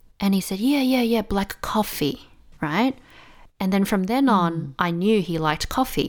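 In an Australian accent, a woman speaks at medium pitch and a moderate pace with lively intonation. The recording is very clean, with a silent background. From Australia, Melbourne. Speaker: English teacher. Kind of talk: casual interview chat.

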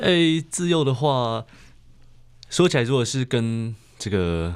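Very slow delivery with very wide pitch swings, on a very clean recording with a silent background. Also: man. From Taiwan, Puli (Nantou). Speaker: nature writer. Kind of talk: interview. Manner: halting.

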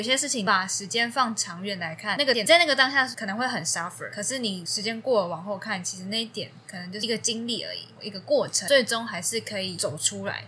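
A fairly high-pitched woman speaking very fast with lively intonation, against noticeable background noise. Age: 20s. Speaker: podcast co-host. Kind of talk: casual chat.

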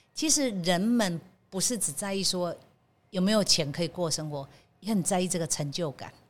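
Her voice is a normal speaking voice at a medium pitch for a woman. She talks at a moderate pace with lively intonation. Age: 60s. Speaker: bakery company general manager. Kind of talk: interview.

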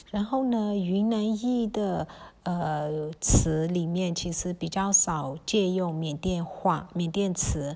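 A woman speaks very slowly with a dark, mellow tone and ordinary pitch variation. The recording is very clean, with a silent background. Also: fairly low pitch for a woman. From Myanmar, Kokang ethnic Chinese. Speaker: podcast host. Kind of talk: solo podcast talk on dialect words. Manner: hesitant, many fillers; casual, relaxed.

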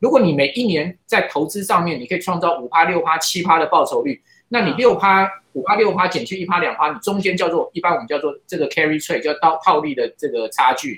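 With a bright, sharp tone and lively intonation, a man talks at a fairly quick pace in a high pitch. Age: 50s. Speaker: financial commentator. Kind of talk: interview. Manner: frequent fillers and hesitations.

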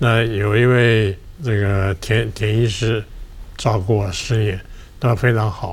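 Noticeable background noise behind a male voice with ordinary pitch variation. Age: 80s+. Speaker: retired media veteran and heart patient. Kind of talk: personal testimony in interview.

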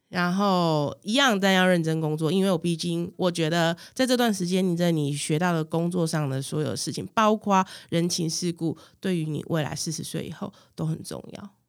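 This woman has an unremarkable speaking voice, fairly low in pitch, with ordinary pitch variation and a moderate pace. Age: 40s. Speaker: business owner. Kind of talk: casual chat.

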